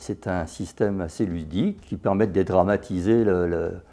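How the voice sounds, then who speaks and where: A man with a dark, mellow tone talks at a moderate pace, the background quiet. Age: 70s. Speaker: patient. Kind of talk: testimony. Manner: hesitant, with fillers.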